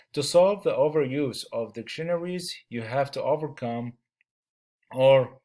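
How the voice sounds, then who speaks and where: A man speaks at a fairly slow pace with a non-native accent. His pitch is fairly high, and his tone is dark and mellow. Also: ordinary pitch variation, very clean recording, silent background. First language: not English. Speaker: student teacher presenting a chapter. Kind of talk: class presentation. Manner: halting, many fillers.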